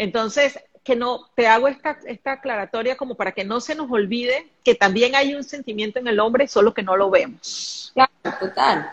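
With a high voice and ordinary pitch variation, a woman speaks at a moderate pace in a dry, close recording with no echo. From Venezuela, Caracas. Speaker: spiritual medium and life coach. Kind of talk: live stream conversation. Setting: live video stream.

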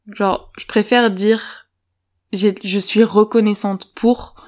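A woman with a medium pitch and fairly even intonation is heard in a very clean recording against a silent background. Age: 20s. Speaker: podcast co-host. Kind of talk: interview. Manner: hesitant.

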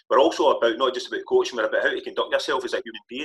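A man speaks with a Scottish accent, the sound dry and close with no echo. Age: 50s. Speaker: football coach. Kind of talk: casual chat.

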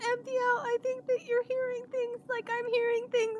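Using a put-on character voice at an extremely high pitch, a woman speaks at a moderate pace against clear background noise. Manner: tired, blunt.

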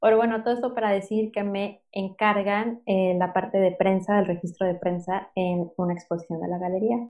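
A woman speaks at a fairly quick pace and medium pitch in an ordinary speaking voice. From Mexico City. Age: 30s. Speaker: podcast co-host, entrepreneur. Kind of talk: casual chat.

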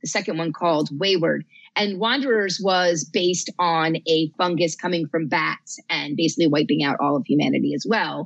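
A woman with an American accent speaks at a moderate pace and a fairly low pitch, with lively intonation, in a plain, everyday voice. The sound is dry and close with no echo. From New Jersey. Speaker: librarian and horror author. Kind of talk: casual chat.

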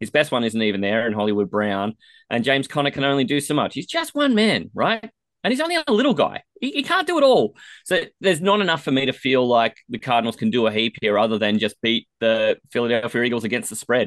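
In an Australian accent, the speaker talks at a very fast pace with lively intonation, in a dry, close sound with no echo and a quiet background. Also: man, medium pitch for a man. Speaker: fantasy football podcaster. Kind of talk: casual sports chat. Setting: studio.

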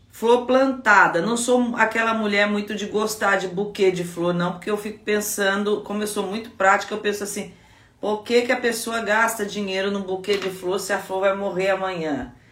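Amid noticeable background noise and audible room echo, a woman at medium pitch speaks at a moderate pace with fairly even intonation and hardly any pauses. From Brazil, Guaratinguetá (São Paulo state). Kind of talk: devotional teaching talk. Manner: conversational.

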